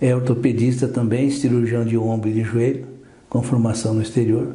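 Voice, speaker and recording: Audible room echo surrounds a man with a medium-pitched voice. He keeps a moderate pace and fairly even intonation. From southern Brazil, Porto União. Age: 70s. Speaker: orthopedic doctor. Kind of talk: radio interview.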